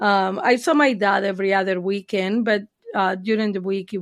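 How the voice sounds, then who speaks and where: Moderate pace, with a Spanish accent. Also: woman. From Argentina. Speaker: therapist. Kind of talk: interview. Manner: hesitant, many fillers.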